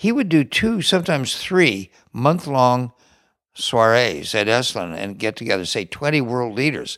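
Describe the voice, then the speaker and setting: Here a man at medium pitch speaks with very wide pitch swings. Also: moderate pace, very clean recording, silent background. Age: 80s+. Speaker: retreat center co-founder. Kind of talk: interview conversation.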